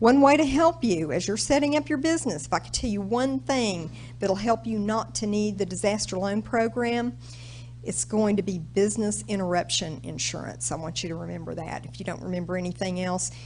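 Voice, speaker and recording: A woman with an American accent talks at a fairly quick pace in big swings of loudness, with audible room echo. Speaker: government small business specialist. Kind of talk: presentation to audience. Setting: stage with audience. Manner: casual, conversational.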